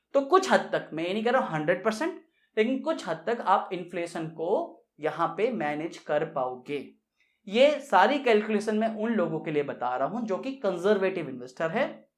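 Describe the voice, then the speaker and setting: A man with a high pitch speaks with very wide pitch swings. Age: 30s. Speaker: personal finance YouTuber. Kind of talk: tutorial. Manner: casual conversational with fillers.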